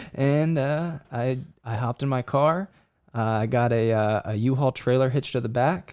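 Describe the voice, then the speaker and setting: A man with an unremarkable speaking voice talks at a moderate pace, with medium pitch and ordinary pitch variation. The recording is very clean, with a silent background. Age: 20s. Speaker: professional runner. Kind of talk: casual chat. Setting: studio.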